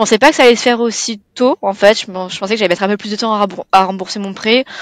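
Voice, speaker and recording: A woman's fairly high, very fast voice, with ordinary pitch variation, big swings in loudness and a dry, close sound with no echo. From southeastern France (Provence). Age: 20s. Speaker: client, first-time property investor. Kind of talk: interview. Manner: casual, with many fillers.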